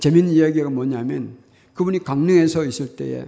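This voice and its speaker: This man has an unremarkable speaking voice, pitched fairly high, with ordinary pitch variation. He talks at a fairly quick pace. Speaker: pastor. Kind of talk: sermon.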